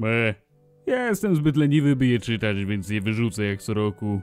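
The speaker uses a put-on character voice at a fairly quick pace. Faint music plays in the background. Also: man, medium pitch for a man. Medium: dub.

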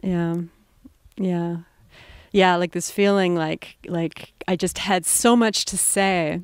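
Very slowly and with fairly even intonation, a woman with a fairly low voice speaks over a quiet background in dry sound with no echo. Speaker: interviewee. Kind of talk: interview answer. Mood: warm, searching, reflective. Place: garden. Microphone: handheld.

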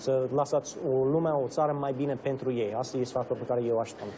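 A man's fairly high-pitched, monotone, flat voice over noticeable background noise. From Romania (Bucharest), American family. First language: English (speaking Romanian). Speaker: state senator. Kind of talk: interview. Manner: halting.

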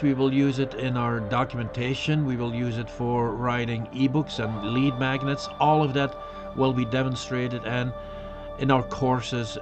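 While a man talks with fairly even intonation, clear music can be heard behind him. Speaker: webcast host. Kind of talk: informal tech webcast talk.

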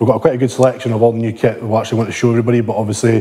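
This man talks at a very fast pace. His intonation is monotone and flat. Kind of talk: casual vlog chat. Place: gym. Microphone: lapel.

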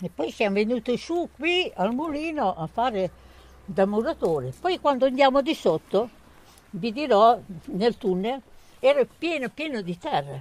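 Speaking at a fairly slow pace with long, frequent pauses, a woman uses a high pitch that takes very wide swings, and the sound is dry with no echo. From Romagna, Italy (Cesenatico); Romagna, Italy. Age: 70s. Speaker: elderly homemaker sharing memories. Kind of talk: oral history storytelling to schoolchildren. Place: garden. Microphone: handheld.

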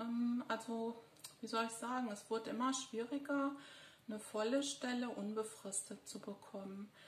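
A woman speaks at a fairly slow pace in a high voice. The room gives off audible echo. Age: 50s. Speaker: psychologist and video blogger; psychologist vlogger. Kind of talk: personal monologue. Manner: hesitant, many filler sounds. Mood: serious, concerned. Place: home room. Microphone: phone near.

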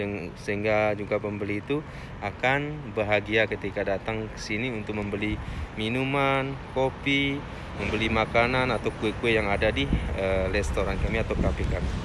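At a moderate pace, a man speaks at a fairly low pitch with ordinary pitch variation and a dry sound with no echo, over noticeable background noise. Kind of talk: casual vlog chat. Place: street. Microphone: phone near.

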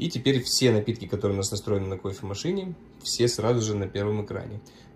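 A man with a fairly low pitch and ordinary pitch variation sounds somewhat breathy over light background noise. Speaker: coffee machine seller. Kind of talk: tutorial. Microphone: phone near.

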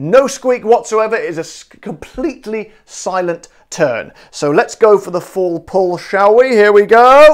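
A high-pitched man with a West Country accent, animated and lively in intonation, at a fairly slow pace against a quiet background. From southwest England. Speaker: gin reviewer, video host. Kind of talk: casual product review to camera. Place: kitchen. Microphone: lapel.

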